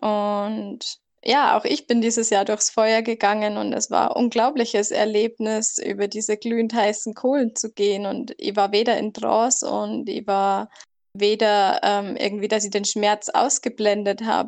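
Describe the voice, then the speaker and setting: An ordinary speaking voice from a woman, fairly high in pitch with fairly even intonation, against a quiet background. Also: fairly slow pace. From southern Germany near Salzburg. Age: 20s. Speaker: former hospital worker.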